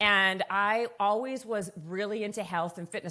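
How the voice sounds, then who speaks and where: A woman speaks with a Canadian accent. Her tone is bright and sharp. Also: very clean recording, silent background. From Canada. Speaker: fitness entrepreneur and author. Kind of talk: podcast interview. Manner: fast, filler-heavy conversational.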